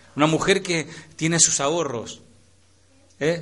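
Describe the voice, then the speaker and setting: Audible room echo surrounds a man's voice. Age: 40s. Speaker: pastor. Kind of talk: sermon. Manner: animated.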